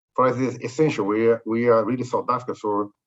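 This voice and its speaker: Against a quiet background, a man with a Brazilian accent talks fairly quickly at a medium pitch in a monotone, flat intonation. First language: Portuguese. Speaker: corporate executive. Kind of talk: webinar interview. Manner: halting.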